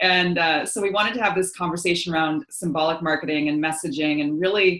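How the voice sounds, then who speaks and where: Speech comes at a fairly quick pace, with audible room echo and a quiet background. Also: woman. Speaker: coach hosting a live session. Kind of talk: live webinar talk. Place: home room. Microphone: video call.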